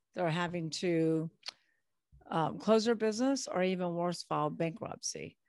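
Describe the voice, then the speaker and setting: In a normal speaking voice with an American accent, a woman talks at a fairly slow pace and fairly low pitch, on a very clean recording with a silent background. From California. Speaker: business broker and author. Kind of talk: interview.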